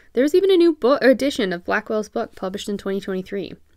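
Very clean recording with a silent background, of a woman with a normal speaking voice at a medium pitch and a fairly quick pace. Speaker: blogger and artist. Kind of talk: scripted blog narration, educational. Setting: home studio. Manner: casual, friendly.

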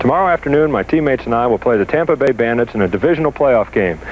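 The sound is dry with no echo and has light background noise. A man talks at a very fast pace. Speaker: professional football quarterback. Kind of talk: TV promo read. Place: stadium.

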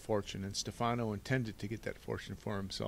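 The voice is plain reading aloud with fairly even intonation.

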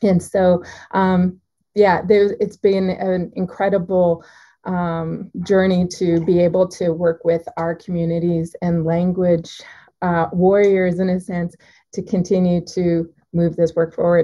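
A woman speaks in a fairly low voice. Her intonation is monotone and flat. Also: fairly slow pace. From Alberta, Canada (Cree Nation). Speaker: university professor and arts-based researcher. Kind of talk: workshop presentation. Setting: video call. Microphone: video call.

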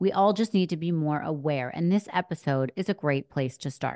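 A woman uses a normal speaking voice with lively intonation at a moderate pace, recorded dry and close with no echo against a quiet background. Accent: American. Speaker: podcast host. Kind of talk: casual interview chat. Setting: in-person studio in Florida.

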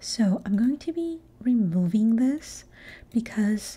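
Speaking at a very slow pace, the speaker is soft-spoken throughout. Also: woman. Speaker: ASMR creator and gamer. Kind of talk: ASMR gaming talk. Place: home room. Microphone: studio mic.

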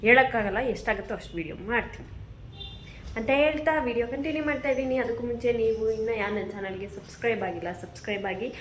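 Through audible room echo and noticeable background noise, a woman speaks at a fairly high pitch with ordinary pitch variation. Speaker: vlogger. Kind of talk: casual vlog narration. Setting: at her mother's home.

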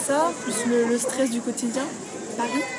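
A woman speaks over loud background noise. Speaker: interviewee. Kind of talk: interview answer. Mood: reflective, personal. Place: cafe. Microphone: phone near.

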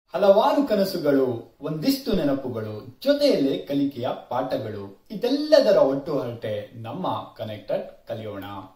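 With audible room echo, a man's voice swings widely in loudness. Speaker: talk show host. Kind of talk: show introduction. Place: home room.

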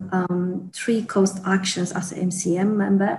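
A somewhat breathy woman at a fairly slow pace, with light background noise. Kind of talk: interview answer. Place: office. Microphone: earbuds.

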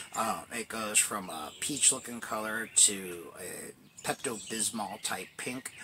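Faint noise runs in the background. Over it, a man speaks. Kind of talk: casual explanatory vlog chat. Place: tent. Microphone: phone near.

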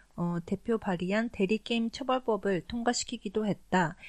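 At a fairly slow pace, a woman with a normal speaking voice talks with ordinary pitch variation. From Korea, raised in Japan. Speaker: podcast co-host. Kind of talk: casual chat with news reading in Korean.

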